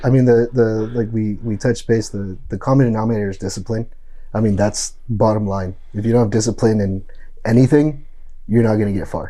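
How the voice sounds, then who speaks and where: At a fairly quick pace, a man speaks in a medium pitch with a dark, mellow tone and fairly even intonation. His American accent comes through with audible room echo. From Los Angeles, US. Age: 30s. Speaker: business coach and bodybuilder. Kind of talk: podcast interview.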